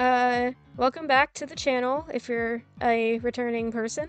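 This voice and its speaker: There is music in the background as a woman talks at a high pitch. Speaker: digital artist. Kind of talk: casual speedpaint voiceover commentary. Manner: rambling, casual.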